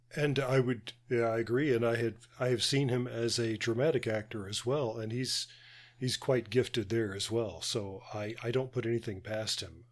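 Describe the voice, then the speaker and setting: A plain, everyday voice at a moderate pace with fairly even intonation, captured in a very clean recording against a silent background. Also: man, medium pitch for a man. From United States. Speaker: podcast co-host.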